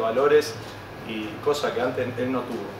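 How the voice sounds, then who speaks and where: A man speaks at a moderate pace. The room echo is audible and there is noticeable background noise. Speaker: handball coach. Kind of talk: casual chat.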